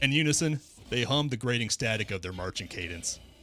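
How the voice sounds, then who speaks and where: A man talks fairly quickly, his pitch varying in an ordinary way, while music plays in the background. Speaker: interactive story narrator. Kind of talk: reading aloud. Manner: stuttering.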